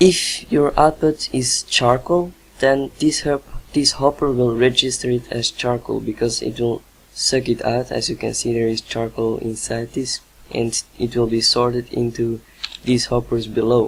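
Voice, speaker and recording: A man with a non-native accent speaks fairly slowly at a medium pitch, with fairly even intonation. Background noise is noticeable. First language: not English. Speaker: gaming video maker. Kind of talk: tutorial. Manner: halting, many fillers.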